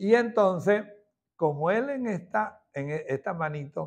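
With quiet all around, a man is heard talking. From Venezuela, Santa Rosa, Barquisimeto (Lara); Lara, Venezuela. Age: 60s. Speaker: former president of a religious devotional society. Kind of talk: testimony. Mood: warm, devout, reminiscing. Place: home room. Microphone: lapel.

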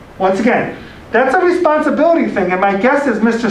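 Audible room echo surrounds a man who speaks at a fairly quick pace. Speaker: college admissions director. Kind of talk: orientation presentation. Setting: room with audience, also streamed on camera. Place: classroom. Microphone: camera far.

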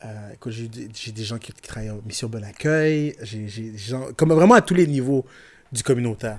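The speaker has a Quebec accent and a fairly slow pace. Loudness swings widely, while pitch varies in an ordinary way. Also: man. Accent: Québécois French. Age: 40s. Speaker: rapper and IT technician; podcast guest. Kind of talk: casual chat. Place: studio. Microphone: studio mic.

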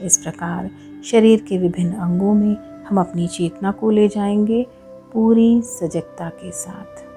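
A woman's voice with ordinary pitch variation and big swings in loudness, over music in the background. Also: medium pitch for a woman. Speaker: yoga teacher. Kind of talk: guided meditation. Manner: slow, soft-spoken.

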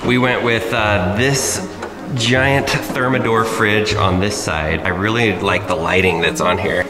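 Ordinary pitch variation from a man at a moderate pace, with clear music in the background. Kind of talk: casual vlog chat. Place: home room. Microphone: phone near.

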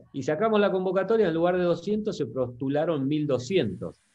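This man's intonation is lively. He keeps to a moderate pace. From Argentina, Concordia, Entre Ríos. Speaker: software company CEO. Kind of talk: interview. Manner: halting, many repetitions and fillers. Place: home room. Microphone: video call.

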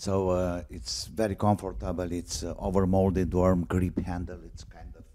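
A man's very deep, low-pitched voice with a dark, mellow tone, fairly even intonation and a fairly slow pace over a quiet background. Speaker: YouTuber reviewing audio gear. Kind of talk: casual product test video. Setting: home, walking around the house. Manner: halting, many fillers. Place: home room. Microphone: handheld.

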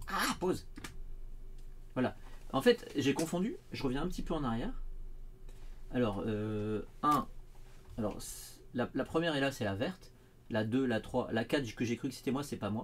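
Over light background noise, a man of medium pitch speaks at a fairly slow pace with lively intonation and long, frequent pauses. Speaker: RC car hobbyist YouTuber. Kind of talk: casual livestream chat. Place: home room.

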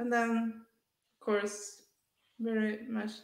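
A woman speaks at a very slow pace. The room echo is audible. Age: 30s. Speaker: author and artist; interview guest. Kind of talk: testimony; interview answer. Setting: video call. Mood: earnest, reflective. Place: home room. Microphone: headset.

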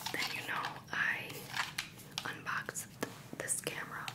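Soft-spoken and whispering, a woman talks at a fairly slow pace over loud background noise. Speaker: camera reviewer. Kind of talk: casual show-and-tell tutorial. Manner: soft ASMR whisper. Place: home room.

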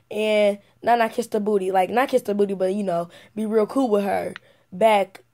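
In a dark, mellow tone, a woman speaks at a moderate pace with fairly even intonation. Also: medium pitch for a woman.

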